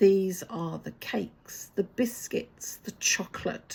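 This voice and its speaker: With a New Zealand accent, a woman speaks at a medium pitch with vocal fry and fairly even intonation. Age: 60s. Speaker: vlogger. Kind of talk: personal vlog talk to camera.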